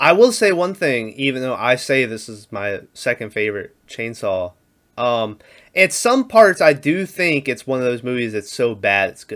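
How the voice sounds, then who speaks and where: With a normal speaking voice at medium pitch, a man talks at a moderate pace using lively intonation and big swings in loudness, in a very clean recording with a silent background. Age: 20s. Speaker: podcast host reviewing horror movies. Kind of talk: casual chat.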